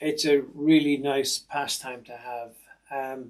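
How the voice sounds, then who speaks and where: With an Irish accent, a man talks in a fairly high voice and a monotone, flat intonation. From Ireland. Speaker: retired soldier and sewing machine technician. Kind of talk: casual self-introduction. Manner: hesitant, with fillers.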